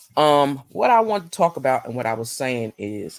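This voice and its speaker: Very deep and low-pitched, a woman's voice moves in very wide pitch swings. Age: 50s. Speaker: YouTuber. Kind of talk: casual chat. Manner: fast.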